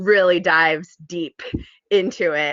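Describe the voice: A fairly bright tone, slow pace and fairly even intonation, in a dry, close sound with no echo. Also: woman, fairly low pitch for a woman.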